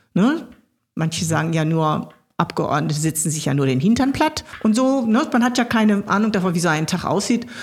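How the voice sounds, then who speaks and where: A woman speaks at a moderate pace, her pitch sitting in the middle range. Her voice swings very widely in pitch and sounds somewhat breathy. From Ruhr area, Germany (Gelsenkirchen). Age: 60s. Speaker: state politician. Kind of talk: interview.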